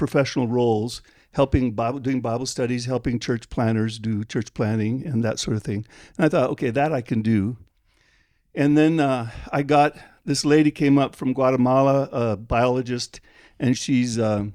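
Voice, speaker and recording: A man's dark, mellow voice at medium pitch, with an American accent and fairly even intonation, on a very clean recording with a silent background. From Liberia. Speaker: missionary Bible translator. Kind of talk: interview. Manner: halting.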